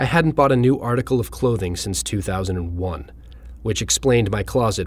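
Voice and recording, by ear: Someone is reading aloud in a natural voice.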